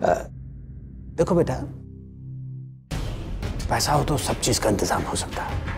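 Over faint background music, a man in a put-on character voice talks slowly at a medium pitch, with big pitch swings and vocal fry.

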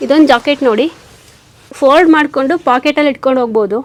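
A woman speaks in a high voice with fairly even intonation. Noticeable background noise is audible. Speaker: clothing shop owner. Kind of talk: product showcase in a shop. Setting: clothing shop. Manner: clear pronunciation.

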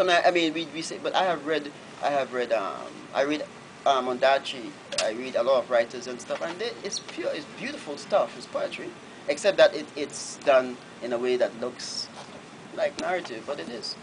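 Over light background noise, a man speaks at a moderate pace with big swings in loudness. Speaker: novelist. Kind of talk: Q&A answer at a book reading. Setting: bookshop event, live audience. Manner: hesitant, repetitive. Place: shop. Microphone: camera far.

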